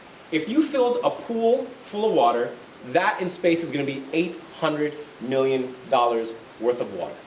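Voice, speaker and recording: Amid audible room echo and noticeable background noise, a man speaks with lively intonation. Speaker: lawyer and space company executive. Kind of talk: lecture. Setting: college lecture with audience.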